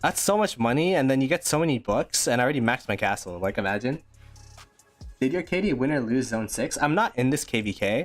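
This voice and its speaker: With music playing in the background, a man talks very fast with lively intonation. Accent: Ontario. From Canada, Greater Toronto Area. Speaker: gaming streamer. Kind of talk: live stream commentary with chat.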